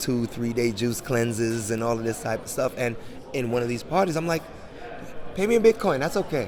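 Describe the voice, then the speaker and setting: A man's voice at medium pitch, with noticeable background noise. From New York, Jamaican heritage. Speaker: crypto entrepreneur. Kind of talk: interview. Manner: animated.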